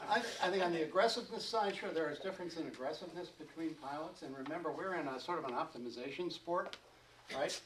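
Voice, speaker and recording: Mumbling at a very fast pace over noticeable background noise, a man speaks in a high pitch with ordinary pitch variation. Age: old. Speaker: glider racing pilot and seminar speaker. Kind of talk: seminar talk. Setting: seminar room with audience. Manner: halting, many fillers.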